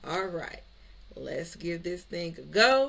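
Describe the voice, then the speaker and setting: A woman speaks in an animated tone with ordinary pitch variation. The room echo is audible. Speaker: credit repair and business coach, YouTuber. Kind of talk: tutorial. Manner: fast; casual, animated.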